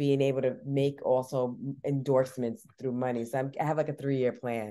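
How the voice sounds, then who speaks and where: A woman's very deep, low voice in an American accent, dark and mellow in tone, with monotone, flat intonation at a moderate pace. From New York. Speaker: singer-songwriter. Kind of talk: interview.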